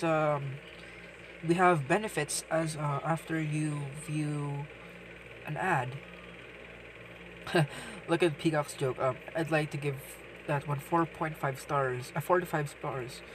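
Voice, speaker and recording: Noticeable background noise sits behind the speech. The pace is fairly slow. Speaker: gaming YouTuber. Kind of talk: casual game commentary. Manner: stuttering, hesitant.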